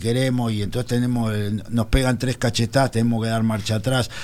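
A man talks at a fairly quick pace. His voice sits at medium pitch, with noticeable background noise. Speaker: political panelist. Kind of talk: radio panel discussion. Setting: radio studio.

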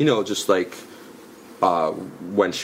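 Speaking at a fairly slow pace with a New York accent, a man uses ordinary pitch variation over noticeable background noise. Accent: New York area American English. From US Northeast, New York suburbs (Westchester). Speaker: comedian. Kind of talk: casual chat. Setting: in person. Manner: halting.

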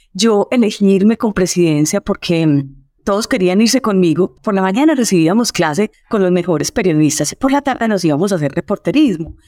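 A woman's medium-pitched voice, dark and mellow, with lively intonation, a fairly quick pace and very even loudness, dry and close with no echo on a very clean recording against a silent background. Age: 50s. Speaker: storytelling expert. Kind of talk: interview.

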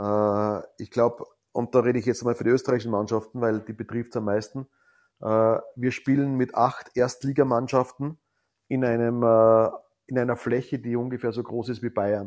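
A man with an Austrian accent, at medium pitch and moderate pace, in monotone, flat intonation, on a very clean recording with a silent background. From Austria, Salzkammergut. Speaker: ice hockey league executive. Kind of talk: interview. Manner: hesitant, many filler sounds.

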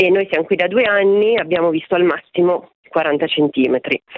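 A woman with a plain, everyday voice, moderate pace and ordinary pitch variation. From Milan, northern Italy. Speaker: caller. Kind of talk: phone-in call.

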